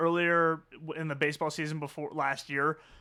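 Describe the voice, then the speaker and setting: A loud man speaks with a bright, sharp tone. The recording is very clean, with a silent background. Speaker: sports podcast co-host. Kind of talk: casual chat. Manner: animated.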